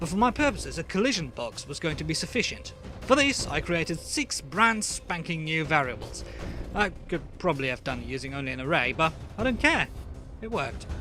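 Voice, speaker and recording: Music is heard in the background. Over it, a man talks at a fairly quick pace. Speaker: game developer. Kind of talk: programming tutorial narration.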